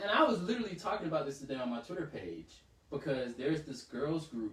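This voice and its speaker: An animated man with an American accent, fairly high in pitch, at a very fast pace over noticeable background noise. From US South, Savannah, Georgia. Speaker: podcast co-host. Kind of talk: casual chat.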